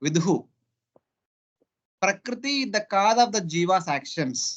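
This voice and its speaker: A man with a Telugu accent talks at a high pitch. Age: 40s. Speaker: spiritual teacher. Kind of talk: scripture class. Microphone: poor internet, voice fluctuates.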